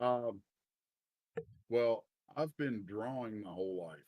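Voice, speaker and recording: A man with a Kentucky accent, fairly slow pace and ordinary pitch variation. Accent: Kentucky accent, once hidden, now kept. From Eastern Kentucky (Bath County, Appalachia). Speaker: comic book writer and artist. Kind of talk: live interview. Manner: casual, halting with repetitions.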